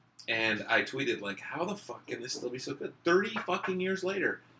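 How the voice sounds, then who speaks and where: A high-pitched man with lively intonation, noticeable background noise behind him. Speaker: podcast host. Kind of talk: casual conversation. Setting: hotel room.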